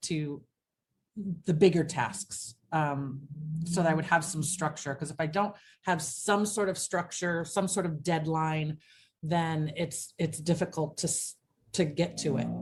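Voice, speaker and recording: Fairly slow, somewhat breathy speech from a woman with a fairly low voice. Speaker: lifestyle vlogger. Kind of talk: personal video diary reflection. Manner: casual with frequent fillers.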